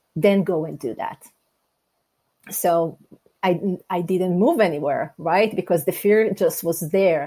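In an Israeli accent, a woman speaks at a medium pitch with a dark, mellow tone. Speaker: life coach and speaker. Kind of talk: interview. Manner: direct.

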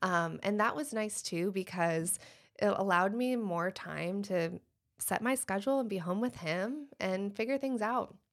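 On a very clean recording with a silent background, a woman with an American accent speaks in a normal speaking voice at medium pitch with ordinary pitch variation. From Michigan. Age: 30s. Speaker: dentist. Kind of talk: casual chat.

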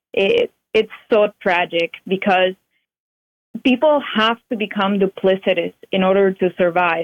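She speaks with a Spanish accent. Her pitch sits in the medium range, with ordinary variation. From Cuba. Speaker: Cuban emigrant and author. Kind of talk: interview testimony.

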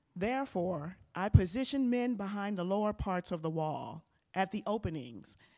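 In an unremarkable speaking voice, a woman with a medium pitch talks with lively intonation on a very clean recording over a silent background. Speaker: minister and family advisor. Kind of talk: sermon.

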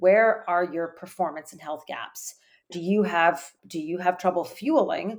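A woman's ordinary speaking voice with a Canadian accent, fairly low in pitch, at a fairly slow pace, with ordinary pitch variation and big swings in loudness. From Canada. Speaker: sports dietitian. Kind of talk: interview.

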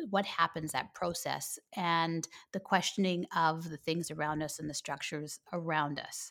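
A woman with a Canadian accent speaks fairly slowly at a fairly low pitch, in a plain, everyday voice. The recording is very clean, with a silent background. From Canada. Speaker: homeschooling podcaster and coach. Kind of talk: casual interview chat.

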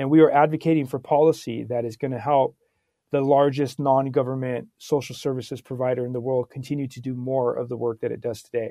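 With an American accent, the voice rushes at a very fast pace in a monotone, flat intonation. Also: man, medium pitch for a man. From California, Santa Barbara. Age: 40s. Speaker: nonprofit engagement leader at a tech company. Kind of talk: interview.

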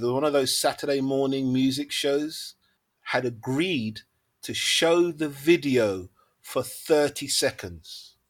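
A man with a London accent and a fairly high pitch, on a very clean recording with a silent background. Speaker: music manager and producer. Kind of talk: casual interview.

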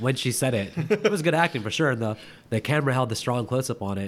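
With pitch that swings very widely, a man talks at a fairly quick pace. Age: 30s. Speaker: movie podcast co-host. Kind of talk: casual chat.

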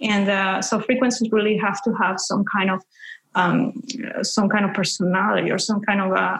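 Her intonation fairly even, a woman talks with a Spanish accent. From Peru. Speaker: spiritual teacher. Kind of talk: interview. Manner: halting with fillers.

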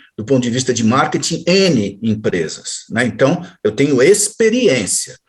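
Very wide pitch swings in a somewhat breathy male voice. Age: 60s. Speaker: journalist and marketing consultant. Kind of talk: interview.

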